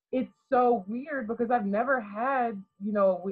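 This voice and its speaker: Her voice somewhat breathy, a woman talks at a moderate pace. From Garrett County, Maryland. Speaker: college basketball player. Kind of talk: podcast interview. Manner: quiet-natured but articulate.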